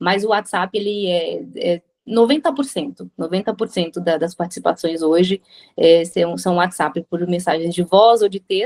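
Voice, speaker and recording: Speaking at a fairly slow pace, a woman uses an ordinary speaking voice at medium pitch with ordinary pitch variation, in a dry, close sound with no echo. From Brazil. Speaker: radio presenter. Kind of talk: interview answer.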